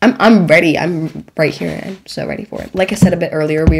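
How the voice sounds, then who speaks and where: The delivery is animated and very fast. Noticeable background noise sits behind it. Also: woman. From Germany. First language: not English (English is third language). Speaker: podcast host, drama student. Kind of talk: casual chat.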